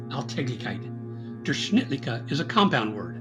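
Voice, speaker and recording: There is music in the background. A man's voice comes through at a medium pitch. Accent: Midwestern. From US Midwest. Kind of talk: philosophy video essay narration.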